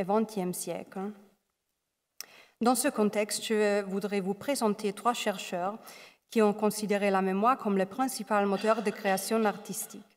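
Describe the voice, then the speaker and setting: A woman with a non-native accent, fairly even intonation and a fairly slow pace. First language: not French (speaking French). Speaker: doctoral researcher, art history. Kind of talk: academic lecture.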